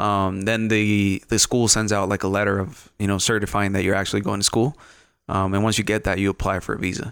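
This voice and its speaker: Over a very clean recording with a silent background, a man with a Mexican accent talks at a fairly quick pace in a fairly low pitch, his loudness very even and his intonation monotone and flat. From northern Mexico. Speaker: photographer and videographer. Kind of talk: casual chat.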